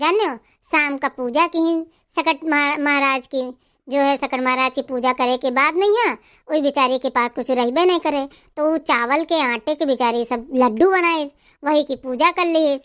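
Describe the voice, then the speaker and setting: A woman's put-on character voice, high in pitch with ordinary variation, at a moderate pace on a very clean recording with a silent background. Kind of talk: folk tale telling. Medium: comedy sketch. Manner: homely, teasing.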